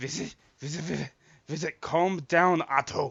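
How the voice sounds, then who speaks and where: A man puts on a raspy, gruff character voice with a fairly high pitch. He keeps a moderate pace and fairly even intonation. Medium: actual play. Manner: curt, hostile.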